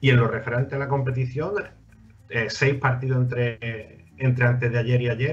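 Somewhat breathy, a man speaks at a medium pitch and a moderate pace with fairly even intonation. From Andalusia, Spain. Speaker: basketball radio host. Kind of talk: sports talk show. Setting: studio with remote guests via Skype.

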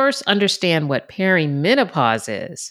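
On a very clean recording with a silent background, a woman speaks at a moderate pace with vocal fry. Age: 50s. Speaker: wellness podcast host. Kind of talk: solo podcast monologue. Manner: conversational.

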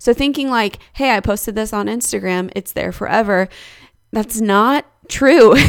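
A woman with a plain, everyday voice speaks at a moderate pace. Her pitch is fairly high, with ordinary pitch variation. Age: 20s. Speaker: podcast co-host, photography business owner. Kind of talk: casual chat.

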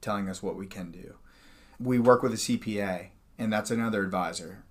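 An unremarkable speaking voice from a man, fairly low in pitch, fairly quick, with fairly even intonation. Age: 40s. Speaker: financial advisor. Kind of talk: casual chat.

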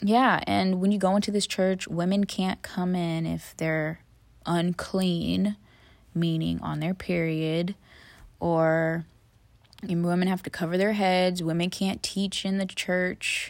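Very slow, monotone, flat delivery with long, frequent pauses in an American accent, on a very clean recording with a silent background. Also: woman, medium pitch for a woman. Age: 20s. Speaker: podcast host. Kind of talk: casual monologue.

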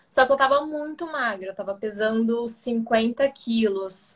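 Her pitch high and her intonation fairly even, a woman is talking. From Brazil, interior of São Paulo state (Ribeirão Preto). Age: 20s. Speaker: ballet dancer. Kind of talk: casual chat on a live stream.

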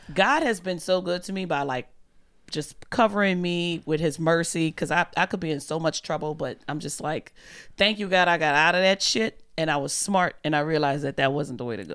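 The speaker has a New Orleans accent and ordinary pitch variation at a fairly quick pace. The recording is very clean, with a silent background. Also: woman, fairly low pitch for a woman. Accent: Southern, New Orleans. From US South, New Orleans, Louisiana. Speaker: comedian. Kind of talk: casual chat.

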